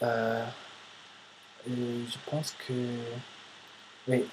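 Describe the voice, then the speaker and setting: Speaking at a very slow pace, a man with a medium-pitched voice comes through over noticeable background noise. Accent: American. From United States. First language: English (speaking French). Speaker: vlogger, language learner. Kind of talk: casual vlog monologue. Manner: halting, many hesitations.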